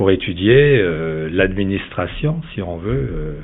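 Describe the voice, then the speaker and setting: A man with a very deep, low pitch speaks at a very slow pace with very wide pitch swings, over noticeable background noise and audible room echo. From Italy, Veneto. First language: Italian (speaking French). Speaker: real estate developer. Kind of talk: interview. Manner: halting, many hesitations.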